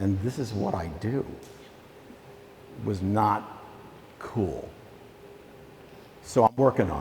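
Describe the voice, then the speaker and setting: With an American accent, a man talks at a very slow pace with long, frequent pauses and ordinary pitch variation, over noticeable background noise. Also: fairly low pitch for a man. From Virginia, US South. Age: old. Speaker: documentary filmmaker. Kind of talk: school talk to students. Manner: loud.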